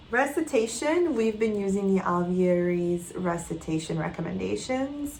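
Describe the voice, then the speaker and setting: A woman at a medium pitch with lively intonation, a moderate pace and hardly any pauses, amid noticeable background noise and audible room echo. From Quebec. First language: not English; English is her third language. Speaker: homeschooling mother. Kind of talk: casual vlog update. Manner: conversational with frequent fillers and restarts.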